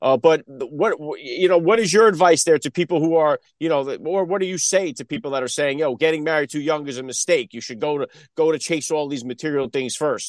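With a quiet background, the sound is dry and close with no echo. It carries an ordinary speaking voice at a fairly quick pace with ordinary pitch variation. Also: man, fairly high pitch for a man. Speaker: podcast host. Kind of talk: casual interview chat.

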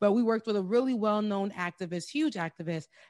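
A woman with a fairly high pitch has an ordinary speaking voice. She talks at a moderate pace with ordinary pitch variation against a quiet background. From US, Haitian immigrant family. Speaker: journalist and show host. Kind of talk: interview.

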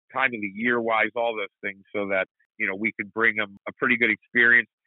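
The man has an unremarkable speaking voice at a medium pitch. He talks at a fairly quick pace. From US Midwest. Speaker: motorsport announcer and racing league owner. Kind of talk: casual interview chat.

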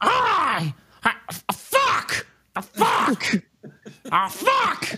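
The speaker uses a shrill, put-on character voice. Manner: panicked, cursing.

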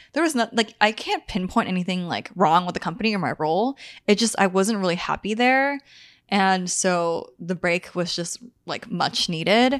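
In a very clean recording with a silent background, a woman speaks in a plain, everyday voice at a medium pitch, with ordinary pitch variation and a moderate pace. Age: 20s. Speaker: podcast co-host. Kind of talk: casual chat. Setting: in person recording, studio-like.

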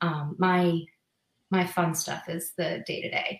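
With an American accent, a woman uses a normal speaking voice, fairly low in pitch, with fairly even intonation. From Massachusetts, New England. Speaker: physical therapist and practice owner. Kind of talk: casual interview on a live stream.

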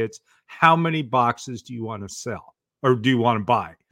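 An unremarkable speaking voice from a man with an American accent, medium pitch, ordinary pitch variation and a moderate pace, on a very clean recording with a silent background. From US Pacific Northwest, Portland, Oregon. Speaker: author and speaking coach. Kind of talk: podcast interview.

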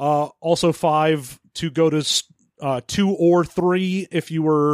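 The recording is very clean, with a silent background and a dry, close sound without echo. A man uses a normal speaking voice at a fairly high pitch, with fairly even intonation. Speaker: co-host of a tabletop roleplaying game podcast. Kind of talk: casual banter and game review discussion.

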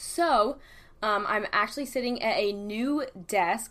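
A woman speaks with a fairly high pitch and ordinary pitch variation. Her recording is very clean, with a silent background. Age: 20s. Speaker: YouTuber and podcast host. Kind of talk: casual solo chat. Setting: at a desk, solo recording. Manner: filler-heavy, hesitant.

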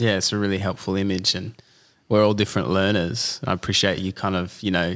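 A man with an Australian accent speaks at a fairly quick pace. His pitch is very deep and low, with fairly even intonation. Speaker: podcast host. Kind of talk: casual interview. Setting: at guest's home.

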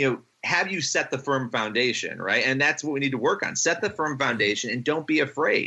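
A man with an ordinary speaking voice, fairly high-pitched, ordinary pitch variation, a fairly quick pace and hardly any pauses. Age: 30s. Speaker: journalist and writer. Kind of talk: casual interview.

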